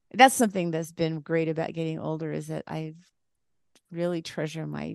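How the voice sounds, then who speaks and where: A woman speaks in a dry, close sound with no echo. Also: quiet background. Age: 60s. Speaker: author and songwriter. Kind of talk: casual chat.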